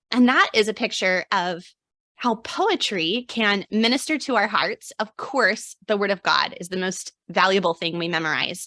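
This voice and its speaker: A woman with a medium-pitched voice and lively intonation speaks at a moderate pace in a dry, close recording with no echo. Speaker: homeschooling mom and blogger. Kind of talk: live stream workshop. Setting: video live stream via zoom.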